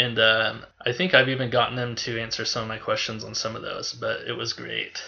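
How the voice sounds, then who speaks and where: A man talks at a fairly quick pace with hardly any pauses. There is audible room echo. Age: 30s. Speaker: podcast guest, music fan. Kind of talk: casual chat.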